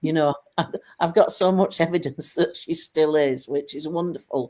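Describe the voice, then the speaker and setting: A woman speaks with a northern English accent at a moderate pace. Her pitch is fairly low. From Lancashire, northern England. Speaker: widow of a medium, business helper. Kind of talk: interview podcast.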